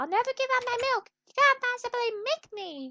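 A female-sounding, put-on character voice cackles at an extremely high pitch. It sounds strained and moves at a moderate pace. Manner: evil, cackly.

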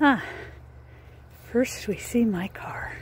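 A woman is whispering. She goes at a slow pace.

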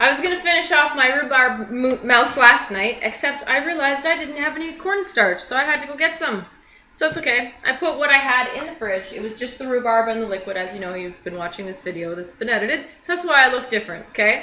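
A woman's raised, projected voice at a very fast pace with hardly any pauses, big swings in loudness, audible room echo and light background noise. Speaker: home cooking show host. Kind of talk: tutorial. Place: kitchen. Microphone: camera far.

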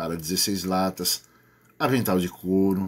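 Someone speaks with a Brazilian accent in a very clean recording over a silent background. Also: man. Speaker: promotions YouTuber. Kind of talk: upbeat infomercial-style promo pitch, reading rules aloud and urging viewers to enter. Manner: animated, enthusiastic, salesy; casual, friendly, chatty.

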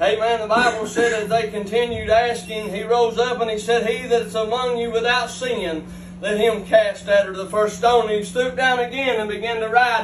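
Audible room echo and light background noise surround a man's voice. His pitch is extremely high, and he speaks at a moderate pace. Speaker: lay preacher. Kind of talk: sermon. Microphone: camera far.

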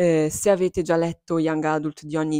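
Against a quiet background, a woman speaks fairly quickly in a very deep, low voice with a dark, mellow tone and a dry sound with no echo. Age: 20s. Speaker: book YouTuber. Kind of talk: casual chat. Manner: animated. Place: home room. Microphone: lapel.

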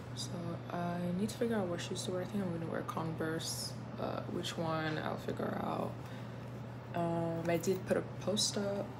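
Loud background noise sits under a woman speaking at a moderate pace. Her speech has long, frequent pauses. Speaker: university student vlogger. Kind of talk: casual vlog chat. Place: home room. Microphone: phone near.

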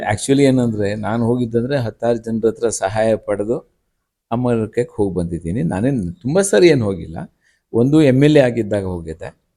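A man with a medium-pitched voice and a dark, mellow tone talks with lively intonation on a very clean recording against a silent background. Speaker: former state minister, politician. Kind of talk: interview. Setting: at his home.

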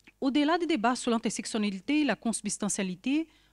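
Against a quiet background, a woman speaks in a Brazilian accent at a high pitch. Her intonation is lively. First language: Portuguese (speaking French). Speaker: social science researcher; panel discussant. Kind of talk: academic talk. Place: hall.

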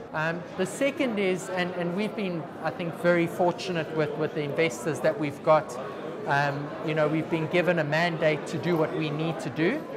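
Noticeable background noise behind a man speaking at a moderate pace. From South Africa. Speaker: tech company founder and CEO. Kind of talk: interview. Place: studio. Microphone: lapel.

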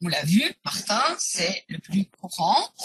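A woman's somewhat breathy voice, dry with no echo. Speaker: genealogist and historian; webinar presenter. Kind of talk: webinar presentation. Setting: live online webinar. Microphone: video call.

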